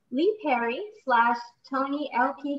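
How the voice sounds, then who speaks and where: A woman speaks in a high voice. Her intonation is lively. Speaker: panel host. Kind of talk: formal introduction. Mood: warm, polite. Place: home room. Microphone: video call.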